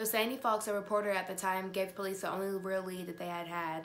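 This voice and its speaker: A woman speaking at a fairly quick pace, with music in the background. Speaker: true crime vlogger. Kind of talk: casual vlog chat. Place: home room. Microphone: phone near.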